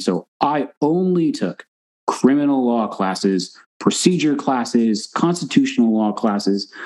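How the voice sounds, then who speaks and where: Here a man has a normal speaking voice with an American accent. His intonation is lively and his pace moderate. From Texas. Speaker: forensic psychologist. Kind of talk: casual interview.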